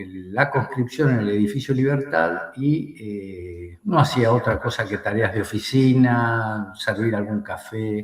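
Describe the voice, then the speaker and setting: This man speaks in a medium-pitched voice with ordinary pitch variation. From Argentina. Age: 60s. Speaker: war veteran. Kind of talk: interview. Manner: hesitant, many fillers.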